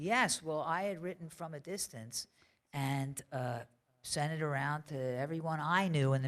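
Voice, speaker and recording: An American accent marks this woman's very deep, low voice, which carries lively intonation. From Philadelphia, US. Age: 60s. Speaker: songwriter. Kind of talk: interview before audience. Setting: library stage with audience.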